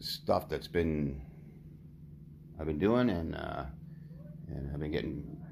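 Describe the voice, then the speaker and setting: A man's very deep, low voice at a fairly slow pace, with audible room echo. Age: 60s. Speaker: powerlifter. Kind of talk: tutorial. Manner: halting.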